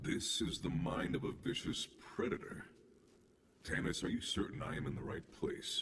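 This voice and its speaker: A man performs a put-on character voice. He keeps a moderate pace and leaves long, frequent pauses. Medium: video game. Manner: measured, eerie, formal.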